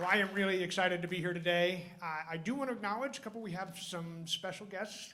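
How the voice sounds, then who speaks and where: A man with a high voice projects loudly at a very fast pace, his pitch varying in an ordinary way, while noticeable background noise and audible room echo fill the clip. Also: hardly any pauses. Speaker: emergency physician hosting award ceremony. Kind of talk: ceremony speech. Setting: stage with audience, microphone.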